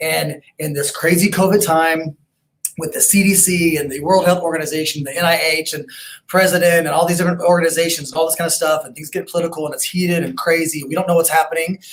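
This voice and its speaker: A man's high-pitched, very fast delivery with big swings in loudness. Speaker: chiropractic clinic director. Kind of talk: webinar presentation. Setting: online webinar. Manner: animated.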